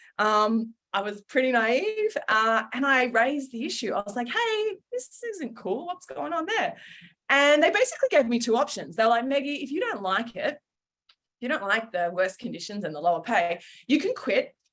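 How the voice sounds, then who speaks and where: In an Australian accent, a woman speaks at a high pitch and a moderate pace. Her pitch swings very widely. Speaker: founder and former journalist. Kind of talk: webinar talk. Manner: casual, many fillers.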